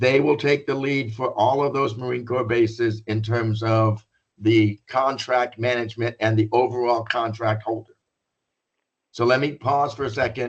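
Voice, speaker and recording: A man talks in a plain, everyday voice. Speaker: business consultant presenting a contract bid. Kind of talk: informational presentation. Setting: conference call.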